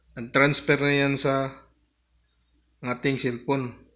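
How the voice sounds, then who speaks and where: At a very slow pace, a man with a fairly high pitch talks in a monotone, flat way over a quiet background. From Philippines. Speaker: YouTube vlogger. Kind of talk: tutorial. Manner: casual, conversational. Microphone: phone near.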